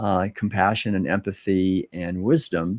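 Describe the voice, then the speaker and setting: A very clean recording with a silent background, spoken in an American accent. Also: man. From US Northeast, Concord, Massachusetts. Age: 60s. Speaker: author and speaker on vegan living. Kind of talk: interview. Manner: calm.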